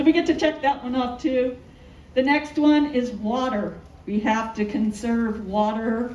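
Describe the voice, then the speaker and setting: A woman's fairly high voice with ordinary pitch variation at a fairly slow pace, amid noticeable background noise and audible room echo. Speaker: architect. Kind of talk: public presentation. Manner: loud.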